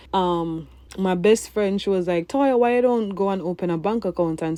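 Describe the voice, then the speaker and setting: A woman with a Jamaican accent speaks at a fairly quick pace in a medium-pitched, dark, mellow tone with ordinary pitch variation. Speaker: vlogger. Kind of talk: personal storytelling voiceover. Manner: casual.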